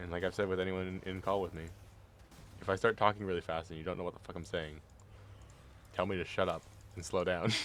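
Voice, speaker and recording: On a very clean recording with a silent background, a quiet man with a very deep, low pitch speaks at a very fast pace in a monotone, flat way, with long, frequent pauses. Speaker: vtuber streamer. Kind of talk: casual gaming stream chat. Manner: normally quiet.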